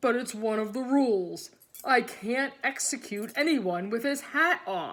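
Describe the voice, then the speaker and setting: A woman puts on a character voice with a high pitch and lively intonation. The recording is very clean, with a silent background. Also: fairly slow pace. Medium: read story. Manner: friendly, easygoing.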